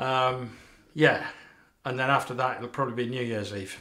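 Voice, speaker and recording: A man's fairly quick delivery with fairly even intonation against a quiet background. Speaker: shaving video host. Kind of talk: casual vlog chat. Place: bathroom. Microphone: camera far.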